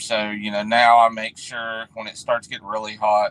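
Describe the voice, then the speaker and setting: A man talks with a West Virginia accent. The sound is dry and close, with no echo. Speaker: refrigeration technician. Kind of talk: casual chat. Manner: halting.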